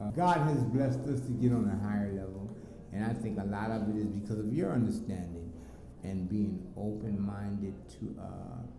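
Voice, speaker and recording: The intonation is lively. There is audible echo from the room. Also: man, fairly low pitch for a man, moderate pace. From US Southwest, South Phoenix, Arizona. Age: 50s. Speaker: father of the channel owner. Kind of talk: casual interview. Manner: halting, with many fillers.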